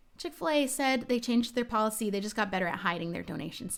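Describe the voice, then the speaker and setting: Over music in the background, a woman with an American accent talks at a very fast pace, her fairly high voice full of lively intonation. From New Jersey. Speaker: gaming streamer. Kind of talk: live stream chat.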